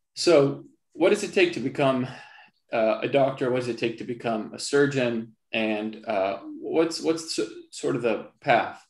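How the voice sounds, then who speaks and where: A man at a fairly slow pace, with audible room echo against a quiet background. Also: medium pitch for a man. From Palestine (Jerusalem). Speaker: surgeon. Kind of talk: lecture. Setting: video call. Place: home room. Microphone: video call.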